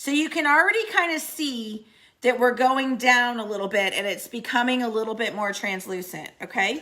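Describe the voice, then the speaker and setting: This woman has an American accent and a bright, sharp, high voice. She talks at a moderate pace with lively intonation. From Missouri. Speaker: paint retailer and instructor. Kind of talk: live tutorial. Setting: studio, live stream. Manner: casual, chatty.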